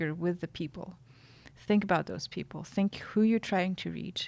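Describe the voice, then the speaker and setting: A woman's fairly low voice at a fairly slow pace on a very clean recording with a silent background. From Russia, Siberia. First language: Russian. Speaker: journalist and podcast consultant. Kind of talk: interview, advice.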